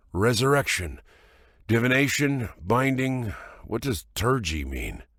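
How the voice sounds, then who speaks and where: On a very clean recording with a silent background, a man in a put-on character voice sounds raspy, medium in pitch, with lively intonation and a fairly slow pace. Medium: read story.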